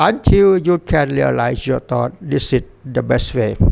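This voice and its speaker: Very slow in pace, a man speaks with a Thai accent. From Thailand. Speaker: Buddhist dharma teacher. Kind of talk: dharma talk. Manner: halting.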